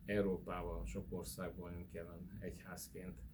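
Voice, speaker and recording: Audible room echo surrounds a man with a very deep, low pitch and vocal fry. His pitch varies in an ordinary way. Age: 60s. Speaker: spiritual church leader. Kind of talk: interview. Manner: hesitant fillers.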